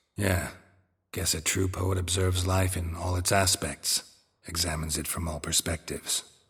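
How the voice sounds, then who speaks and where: Putting on a character voice, a man speaks at a very deep, low pitch with a deadpan tone and monotone, flat intonation on a very clean recording with a silent background. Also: moderate pace. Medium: video game. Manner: terse, dry, deadpan.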